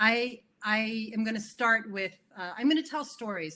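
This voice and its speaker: With a Californian accent, a woman speaks at a fairly high pitch with ordinary pitch variation, recorded very cleanly against a silent background. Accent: General American (California). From California, US (early years in Italy and Switzerland). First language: Italian. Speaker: keynote speaker, tech community director, former teacher. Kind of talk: conference keynote talk. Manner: conversational with many fillers.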